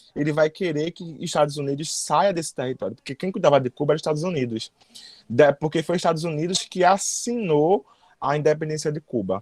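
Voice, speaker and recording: A man's fairly high voice at a fairly quick pace, with ordinary pitch variation and a dry, close sound free of echo. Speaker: history teacher. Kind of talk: lecture. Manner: fast; sometimes stumbles over words.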